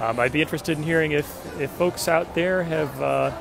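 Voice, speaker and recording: Clear music sounds behind a man's voice. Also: dry sound with no echo. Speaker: fan vlogger. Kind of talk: casual vlog chat. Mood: excited, upbeat. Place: street. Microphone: phone near.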